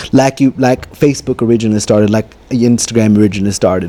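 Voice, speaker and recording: A man speaks with an American accent and ordinary pitch variation. Noticeable background noise is present. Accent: Louisiana-ish, Cajun-tinged Texas. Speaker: content creator. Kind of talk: interview answer. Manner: high energy, lively.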